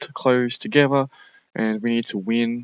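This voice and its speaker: A man with an Australian accent speaks at medium pitch, the sound dry and close with no echo. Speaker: gaming YouTuber. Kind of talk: gameplay commentary. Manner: fast; casual, halting with fillers.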